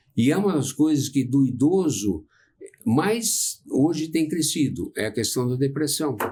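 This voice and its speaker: Fairly high, somewhat breathy male voice with lively intonation at a fairly slow pace. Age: 70s. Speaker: psychologist. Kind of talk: casual chat.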